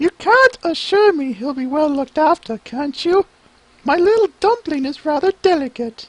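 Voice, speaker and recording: A squeaky, high-pitched put-on character voice at a moderate pace. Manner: fussy, doting.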